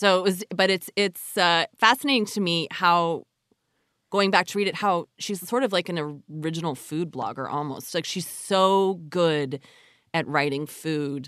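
Over a quiet background, a woman with a normal speaking voice talks at a fairly slow pace and a fairly low pitch, with ordinary pitch variation and a dry, close sound with no echo. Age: 40s. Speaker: podcast host and journalist. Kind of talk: casual interview.

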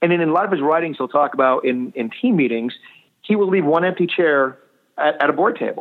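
In a normal speaking voice, a man talks at a fairly quick pace, pitched fairly high with lively intonation. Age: 40s. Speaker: association executive. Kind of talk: interview.

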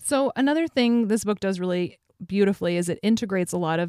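In a dark, mellow tone, a woman speaks very fast, the sound dry and close with no echo on a very clean recording with a silent background. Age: 30s. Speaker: podcast host. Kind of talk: interview.

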